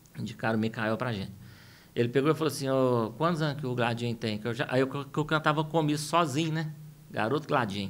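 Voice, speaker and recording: Speaking at a very fast pace, a man talks at a medium pitch with ordinary pitch variation. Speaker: singer and music producer. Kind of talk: interview.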